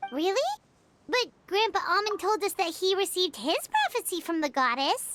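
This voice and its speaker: Someone puts on a character voice at an extremely high pitch. The pace is moderate. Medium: machinima. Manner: excitable, fast.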